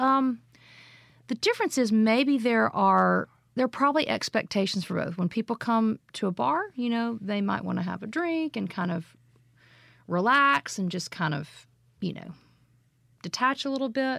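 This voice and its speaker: In a very clean recording with a silent background, a woman with a Southern US accent speaks at a moderate pace and fairly high pitch, making very wide pitch swings and long, frequent pauses. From Mississippi, Jackson. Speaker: singer-songwriter. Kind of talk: casual interview chat.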